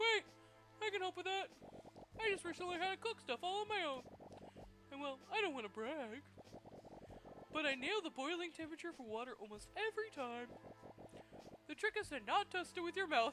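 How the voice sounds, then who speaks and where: In a put-on character voice with extremely high pitch, the speaker goes at a fairly quick pace but breaks into long, frequent pauses, with clear background noise. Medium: game stream. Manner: dry, awkward humor.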